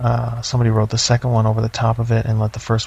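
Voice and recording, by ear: The text is read aloud in a natural voice.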